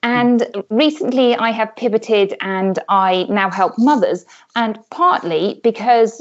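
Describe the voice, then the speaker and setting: A woman with a British accent speaks with lively intonation. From UK. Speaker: health coach, former pediatric doctor. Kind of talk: interview.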